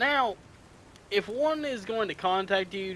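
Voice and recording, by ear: In a put-on character voice with a fairly bright tone, the speaker goes at a slow pace with lively intonation. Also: man, high pitch for a man.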